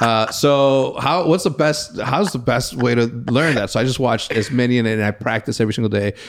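A man with a Spanish accent at medium pitch, ordinary pitch variation, a fairly quick pace, hardly any pauses and very even loudness. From Mexico. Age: 30s. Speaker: podcast host. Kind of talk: casual chat. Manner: animated, frequent word repetitions.

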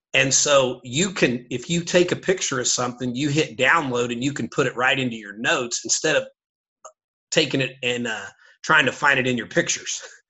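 A man talks at a fairly quick pace in a plain, everyday voice, with medium pitch and ordinary pitch variation. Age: 50s. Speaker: basketball coach and teacher. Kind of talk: casual interview chat. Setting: studio.

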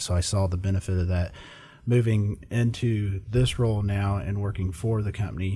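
A man's very deep, low voice in an American accent, somewhat breathy with a dark, mellow tone, on a very clean recording with a silent background. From Indiana. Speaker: software sales director. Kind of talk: casual chat.

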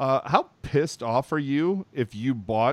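A man at medium pitch with ordinary pitch variation, an ordinary speaking voice, in dry, close sound with no echo. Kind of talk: radio ad pitch (mock trade-deadline infomercial).

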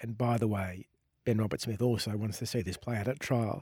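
A voice with a dark, mellow tone and an Australian accent talks at a fairly quick pace. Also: man. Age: 40s. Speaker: investigative journalist. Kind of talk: interview.

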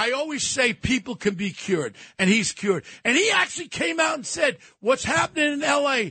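A man's raised, projected voice at an extremely high pitch, with very wide pitch swings, an animated and bright, sharp tone, a moderate pace and a dry, close sound with no echo. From New York City. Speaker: radio commentator. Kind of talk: heated radio commentary. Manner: loud.

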